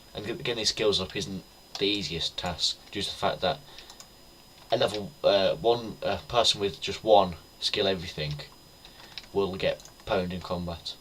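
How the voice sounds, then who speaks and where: Someone with a British accent speaks at a moderate pace with long, frequent pauses over noticeable background noise. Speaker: gaming YouTuber. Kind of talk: gameplay commentary. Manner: halting, stuttering; casual.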